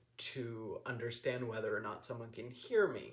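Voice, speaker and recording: His words come out fairly slowly. The room gives a man's voice an audible echo. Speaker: vlogger. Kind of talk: casual personal vlog monologue. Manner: monotone; mumbling, hesitant with many ums.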